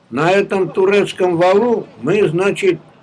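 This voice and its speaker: A man speaks at a high pitch with ordinary pitch variation. Noticeable background noise is present. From Georgia. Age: 80s+. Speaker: war veteran. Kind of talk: interview answer.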